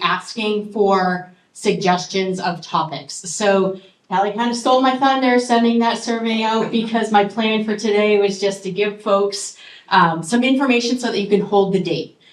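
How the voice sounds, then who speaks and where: Audible room echo surrounds the recording. A woman talks at a medium pitch. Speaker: committee member presenting at association meeting. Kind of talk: meeting announcement. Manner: loud.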